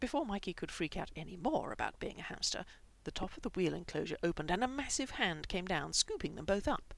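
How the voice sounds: Natural-sounding voice for reading text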